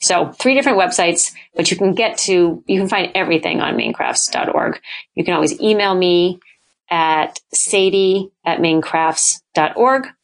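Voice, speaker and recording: An ordinary speaking voice from a woman with an American accent, medium pitch, ordinary pitch variation, very even loudness and a fairly slow pace, against a quiet background. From New Hampshire, US. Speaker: arts nonprofit director. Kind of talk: interview.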